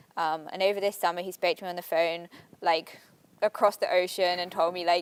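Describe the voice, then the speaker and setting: Speaking at a fairly quick pace, a woman with an English accent uses a medium pitch. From England. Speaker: college athlete. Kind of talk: interview. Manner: hesitant, many fillers.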